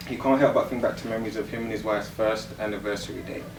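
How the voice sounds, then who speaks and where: A man's fairly low, monotone, flat voice against noticeable background noise. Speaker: spoken word poet. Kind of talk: spoken word poetry performance.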